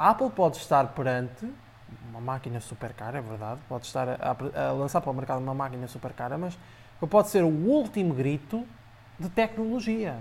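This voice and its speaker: At a fairly quick pace, a man speaks in a somewhat breathy voice with very wide pitch swings and big swings in loudness. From Portugal, Aveiro district. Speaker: tech blogger. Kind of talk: casual chat. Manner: hesitant, frequent repetitions.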